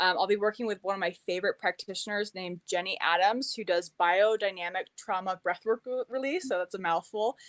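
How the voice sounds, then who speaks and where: A woman at a medium pitch and fairly quick pace with hardly any pauses, in a dry, close sound with no echo. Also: ordinary pitch variation. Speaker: holistic nutrition practitioner. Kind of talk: interview on live stream. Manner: fast; animated.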